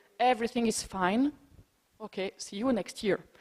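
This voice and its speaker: A woman talks at a moderate pace with a non-native accent. Her pitch is fairly high, with ordinary pitch variation. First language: not English. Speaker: heritage protection expert, conference speaker. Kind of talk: conference Q&A discussion. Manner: halting.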